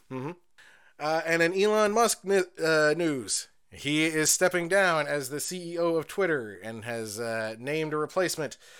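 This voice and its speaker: The recording is very clean, with a silent background, and a man speaks at a moderate pace in a plain, everyday voice. His pitch is fairly high, and his intonation is lively. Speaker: podcast co-host. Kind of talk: casual chat. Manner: laid-back, profane.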